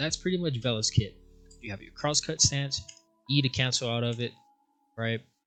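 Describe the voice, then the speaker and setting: Someone talks at a fairly quick pace over music in the background. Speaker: gaming guide creator. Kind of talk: casual game tutorial narration. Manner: casual, hesitant with fillers.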